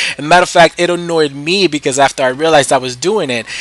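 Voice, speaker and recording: A man talks at a fairly quick pace with an American accent. Noticeable background noise runs under his voice. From New York City, the Bronx. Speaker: gaming YouTuber. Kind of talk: gameplay commentary. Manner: casual, hesitant with fillers.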